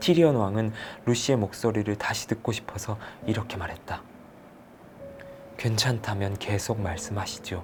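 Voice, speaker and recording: With music in the background, a man speaks in a calm tone at a moderate pace. His fairly low voice has ordinary pitch variation and long, frequent pauses. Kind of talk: audiobook novel reading. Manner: soft-spoken, calm.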